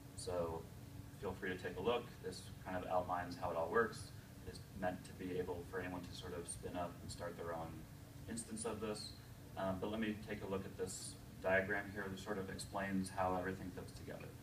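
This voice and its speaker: Over noticeable background noise, a man with a very deep, low voice speaks fairly quickly and with fairly even intonation. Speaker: digital studio principal and developer. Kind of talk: live software demo at a conference. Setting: stage with audience. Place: meeting room. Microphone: podium.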